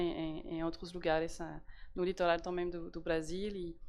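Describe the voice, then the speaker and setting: Fairly slow in pace, a woman speaks at a fairly low pitch. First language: French (speaking Portuguese). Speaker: diplomat, embassy representative. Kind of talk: panel talk. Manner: halting, many fillers and repetitions.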